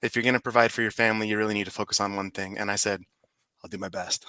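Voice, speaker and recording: A man with a Utah accent has a bright, sharp tone in a dry, close sound with no echo. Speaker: digital marketer. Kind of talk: casual chat.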